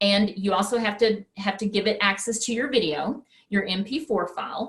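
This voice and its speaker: A woman speaks with a West Texas accent in a somewhat breathy voice. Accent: West Texas twang. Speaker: presenter for teachers. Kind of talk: webinar presentation. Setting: online webinar.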